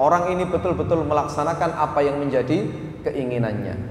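Light background noise and audible room echo behind a male speaker. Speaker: religious teacher. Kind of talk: sermon. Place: hall.

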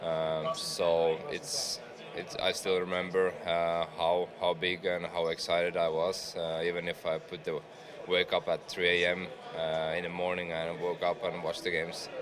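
A fairly slow pace over noticeable background noise. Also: man. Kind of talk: interview answer. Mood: relaxed, nostalgic. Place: hall. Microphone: studio mic.

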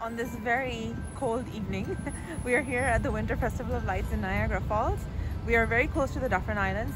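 A woman talks at a fairly quick pace over clear background music, the sound dry with no echo. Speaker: travel vlogger. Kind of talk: casual vlog chat. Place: street. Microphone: phone near.

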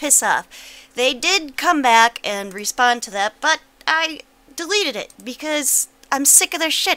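Raising and projecting her high voice, a woman speaks at a fairly slow pace with a bright, sharp tone and lively intonation. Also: dry, close sound with no echo. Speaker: political video blogger. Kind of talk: angry rant. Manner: profane, seething exasperation building to explosive outbursts; curt, clipped sarcastic sign-off.

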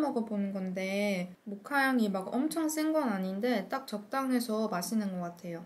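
A woman is speaking. Her pace is moderate. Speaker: food vlogger. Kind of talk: casual vlog chat. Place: home room.

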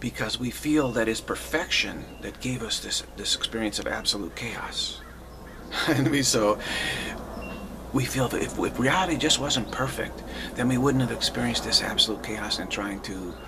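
A man keeps a moderate pace while noticeable background noise carries on behind him. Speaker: spiritual teacher. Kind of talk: spiritual talk. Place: home room. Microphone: webcam.

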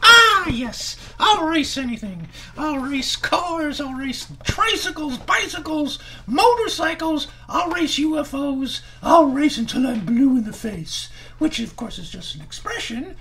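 Put-on character voice from a man, extremely high in pitch, at a fairly slow pace over clear background noise. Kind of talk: ventriloquist comedy routine, children's show.

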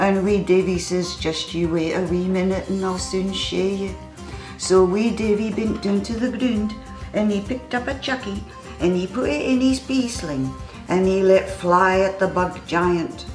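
Clear music plays in the background and audible room echo surrounds a woman speaking in a Scottish accent. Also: ordinary pitch variation, moderate pace. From Scotland. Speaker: storyteller. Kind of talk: children's story telling. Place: home room.

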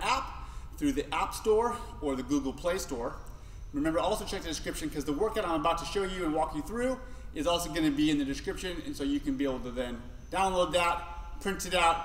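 The man talks very fast. Audible room echo and light background noise surround him. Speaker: fitness coach. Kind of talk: tutorial. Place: gym.

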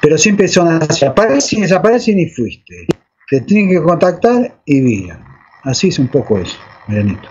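A man with an Argentine accent talks at a moderate pace in a fairly high voice, his pitch swinging very widely. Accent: Rioplatense Argentine Spanish. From Argentina, Buenos Aires. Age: 60s. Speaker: alleged UFO contactee; interview guest. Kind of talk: interview testimony. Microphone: video call.

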